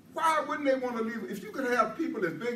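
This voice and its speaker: A man speaks with ordinary pitch variation. The recording has audible room echo and noticeable background noise. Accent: American. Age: 80s+. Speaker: guest speaker. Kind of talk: public speech. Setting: stage with audience.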